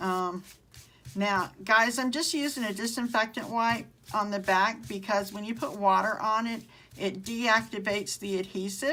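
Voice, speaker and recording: A woman speaks at a moderate pace with a Southern US accent, her pitch fairly high and her pitch variation ordinary. Her tone is bright and sharp. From Mississippi (US South). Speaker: craft tutorial host. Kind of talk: live craft tutorial. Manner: casual, with frequent um fillers.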